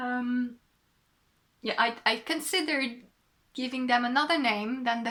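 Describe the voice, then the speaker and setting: A woman with a French accent, high in pitch and bright and sharp in tone, at a fairly slow pace. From southwest France. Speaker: knitting podcaster and designer. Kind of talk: casual podcast monologue. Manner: hesitant, many fillers.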